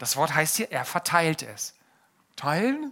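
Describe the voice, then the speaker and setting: The man's raised, projected voice has a bright, sharp tone and swings very widely in pitch. He sounds animated. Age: 30s. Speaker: pastor. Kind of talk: sermon.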